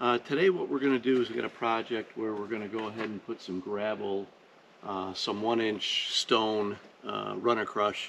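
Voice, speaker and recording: A man talks in a normal speaking voice at a moderate pace, with fairly low pitch, fairly even intonation and light background noise. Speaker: channel host. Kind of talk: casual vlog chat. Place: forest. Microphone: camera far.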